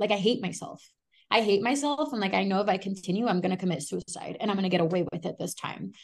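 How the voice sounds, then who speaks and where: Talking at a very fast pace, a woman uses a medium pitch with vocal fry and ordinary pitch variation. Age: 20s. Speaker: author and recovering addict. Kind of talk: casual interview, personal testimony.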